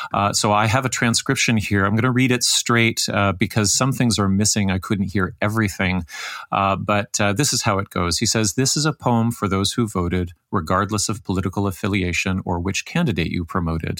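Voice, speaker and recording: In a normal speaking voice, a man talks at a fairly quick pace with fairly low pitch and ordinary pitch variation. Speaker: podcast host interviewer. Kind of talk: interview conversation.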